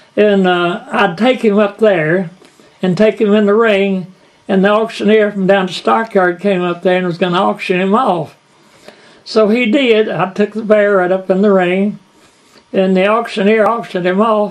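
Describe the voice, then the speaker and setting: At a moderate pace, a man with a Kentucky accent speaks at a high pitch with fairly even intonation. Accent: Southern US, Kentucky. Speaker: bluegrass musician and storyteller. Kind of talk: storytelling interview.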